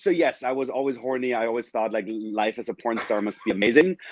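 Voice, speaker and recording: Against a quiet background, a man with a German accent speaks at a medium pitch with ordinary pitch variation. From Germany, small town. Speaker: adult film performer and musical creator. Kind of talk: casual video interview.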